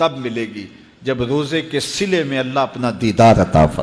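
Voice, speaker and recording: A man's medium-pitched voice with ordinary pitch variation and noticeable background noise. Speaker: Islamic preacher. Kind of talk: Islamic sermon (bayan).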